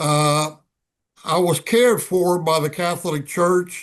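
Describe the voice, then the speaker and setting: A high-pitched male voice at a very slow pace with ordinary pitch variation, over a quiet background. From Cuba. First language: Spanish. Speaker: retired ambassador and author. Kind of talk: TV interview.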